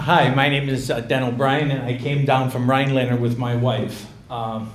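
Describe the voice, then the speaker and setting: Amid noticeable background noise and audible room echo, a man at medium pitch speaks at a moderate pace in a monotone, flat intonation. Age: 60s. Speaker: town hall attendee. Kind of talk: public comment speech.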